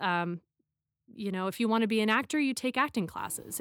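A woman with an American accent and an unremarkable speaking voice talks at a fairly quick pace with lively intonation and fairly high pitch, in a very clean recording with a silent background and a dry, close sound with no echo. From US Midwest, Chicago area. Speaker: actor and voiceover artist. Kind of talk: interview.

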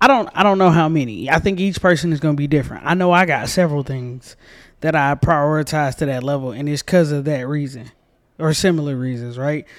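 A plain, everyday voice: a man with an American accent, fairly high in pitch, ordinary pitch variation, a fairly quick pace, very clean recording and a silent background. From US South, Georgia. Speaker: podcast co-host. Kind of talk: casual book review chat.

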